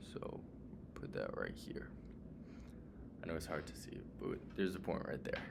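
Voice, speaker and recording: A man's voice with audible room echo. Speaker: student math tutor. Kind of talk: tutorial. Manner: casual, with fillers and self-corrections.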